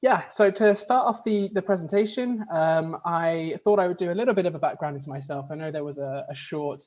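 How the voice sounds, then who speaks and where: A man with a British accent at a fairly quick pace. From UK. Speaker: HR communications manager, workshop presenter. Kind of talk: webinar presentation. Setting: video call.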